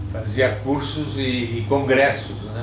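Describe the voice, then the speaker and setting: With audible room echo and noticeable background noise, a man talks at medium pitch with ordinary pitch variation. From southern Brazil, Rio Grande do Sul (Passo Fundo). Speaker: retired physician. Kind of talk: oral history interview.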